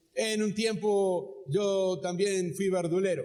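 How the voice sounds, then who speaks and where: Dark, mellow tone with fairly even intonation and audible room echo. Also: man. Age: 60s. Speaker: pastor. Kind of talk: sermon. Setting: church auditorium, live.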